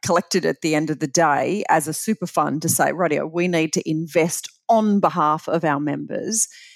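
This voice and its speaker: A woman with an Australian accent, fairly low in pitch with ordinary pitch variation, at a moderate pace with hardly any pauses, in a very clean recording with a silent background and a dry, close sound with no echo. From Australia, Bathurst NSW. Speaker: super fund chief executive. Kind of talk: interview.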